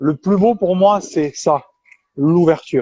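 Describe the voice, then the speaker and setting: A man speaks at a high pitch with a dark, mellow tone and ordinary pitch variation. The sound is dry and close, with no echo. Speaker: interviewer. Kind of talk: interview.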